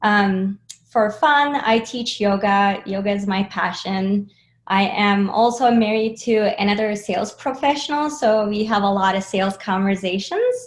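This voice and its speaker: Somewhat breathy and with ordinary pitch variation, the voice moves at a fairly slow pace over a quiet background. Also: woman, medium pitch for a woman. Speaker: sales enablement leader. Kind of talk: interview. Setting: video call.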